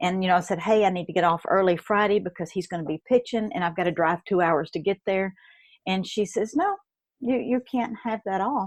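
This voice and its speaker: Speaking at a fairly quick pace, a woman with a medium pitch talks in a Kentucky accent. The recording is dry and close, with no echo. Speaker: network marketer and blogger, former nurse. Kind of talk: interview. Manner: animated.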